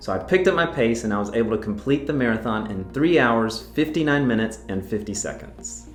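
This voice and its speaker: A man with an American accent talks at a very fast pace in a medium pitch with ordinary pitch variation, music playing in the background. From North Carolina. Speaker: real estate agent. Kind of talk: casual talk to camera.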